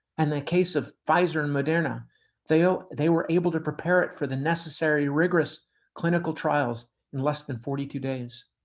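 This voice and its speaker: At a fairly quick pace, a man with an ordinary speaking voice talks in a fairly high pitch with fairly even intonation over a quiet background. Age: 60s. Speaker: public service announcer. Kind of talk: scripted public service message. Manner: formal.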